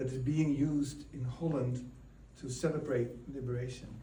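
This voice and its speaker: A man in a strong Dutch accent, medium in pitch and monotone, at a fairly slow pace, with audible room echo. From Netherlands. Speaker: guest speaker at ceremony. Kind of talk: public speech. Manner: halting.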